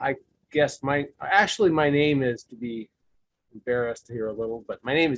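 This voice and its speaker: At a moderate pace and with ordinary pitch variation, a man speaks in a dry, close sound with no echo. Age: 60s. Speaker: support group participant. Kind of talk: testimony. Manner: halting.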